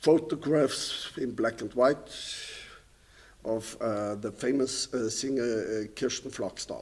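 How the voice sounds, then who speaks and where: This man speaks at a very slow pace in a medium pitch. His intonation stays fairly even. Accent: German. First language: German. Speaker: painter and composer. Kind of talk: lecture. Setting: stage with audience.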